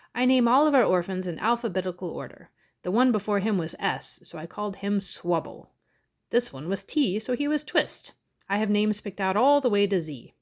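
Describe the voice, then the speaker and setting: Putting on a character voice, a woman of medium pitch speaks at a fairly quick pace with lively intonation and a pompous, stern tone. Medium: read story.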